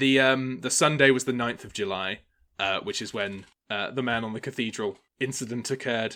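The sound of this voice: A man speaks at a medium pitch with a bright, sharp tone. The recording is very clean, with a silent background.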